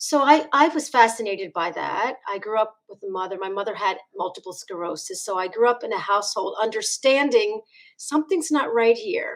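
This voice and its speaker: A fairly high-pitched woman with a Philadelphia accent, lively intonation, big swings in loudness and hardly any pauses at a moderate pace. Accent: Philadelphia American. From US Northeast, Philadelphia. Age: 60s. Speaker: chiropractor. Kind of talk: interview.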